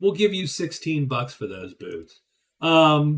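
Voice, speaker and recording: A man with a Pittsburgh accent speaks with ordinary pitch variation. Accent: Western Pennsylvania (Pittsburgh). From Western Pennsylvania. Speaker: board game streamer. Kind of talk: casual gameplay commentary. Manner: casual, with filler words.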